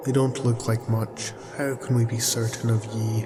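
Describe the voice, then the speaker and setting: Over loud background noise, a gruff, put-on character voice speaks at a moderate pace. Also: man, medium pitch for a man. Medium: audio drama. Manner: gruff, scornful, archaic pirate speech.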